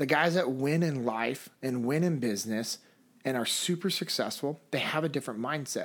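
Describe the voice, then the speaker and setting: His pitch sits fairly high for a man, with ordinary variation. The man keeps a moderate pace. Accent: Californian. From US West, Sacramento, California. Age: 30s. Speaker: former Navy SEAL, leadership instructor and speaker. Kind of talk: interview conversation.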